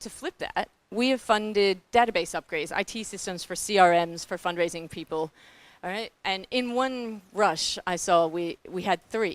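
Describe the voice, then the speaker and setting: Recorded very cleanly with a silent background and a dry, close sound with no echo, a woman speaks at a moderate pace and medium pitch, with ordinary pitch variation and big swings in loudness. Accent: New Zealand. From New Zealand. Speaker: philanthropic foundation staff, panelist. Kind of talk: panel presentation. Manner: animated.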